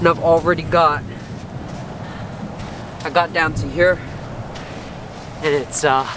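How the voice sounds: The pace is slow and the intonation fairly even. Background noise is clearly audible. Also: man.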